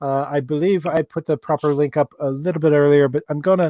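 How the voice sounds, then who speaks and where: In a dry, close recording with no echo, a man with an Irish accent speaks at a moderate pace, his pitch fairly high and his intonation fairly even. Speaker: relationship advice livestream host. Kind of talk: live interactive advice stream. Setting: livestream. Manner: halting, many fillers.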